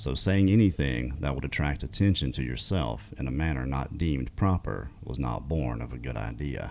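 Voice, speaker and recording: Over noticeable background noise, a man with a very deep, low pitch speaks with lively intonation and hardly any pauses. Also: moderate pace. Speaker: podcast host and storyteller. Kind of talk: story narration, reading out listener encounter accounts. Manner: conversational, narrating a historical account.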